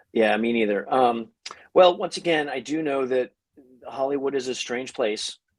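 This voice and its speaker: Speaking at a moderate pace, the man has a medium pitch and ordinary pitch variation. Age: 50s. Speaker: comic book artist. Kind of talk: casual interview chat. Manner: halting.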